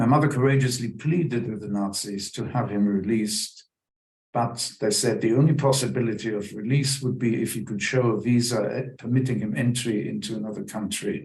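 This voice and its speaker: A somewhat breathy man speaks at a fairly quick pace and medium pitch with ordinary pitch variation. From Germany. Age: 90s. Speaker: Holocaust survivor. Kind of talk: testimony.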